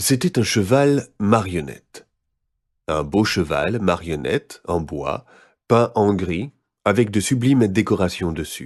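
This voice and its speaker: Over a quiet background, a man with a fairly low pitch speaks at a very slow pace with lively intonation. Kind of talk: children's scary story reading.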